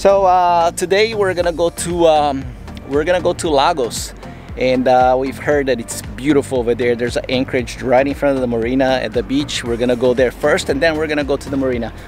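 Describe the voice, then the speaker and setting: Over music in the background, a man talks at a fairly quick pace with ordinary pitch variation, the sound dry with no echo. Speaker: sailing vlogger. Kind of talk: casual vlog chat. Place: boat. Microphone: phone near.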